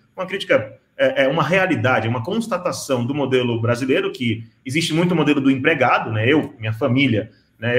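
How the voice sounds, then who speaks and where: A somewhat breathy man, fairly high in pitch, with lively intonation and a fairly quick pace. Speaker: panel moderator. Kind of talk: panel discussion.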